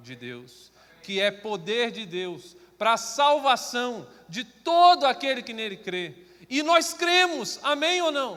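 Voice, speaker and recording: Using a raised, projected voice with a bright, sharp tone, a man talks at a very slow pace while his pitch swings very widely. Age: 30s. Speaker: preacher. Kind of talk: sermon. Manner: understated, not lively.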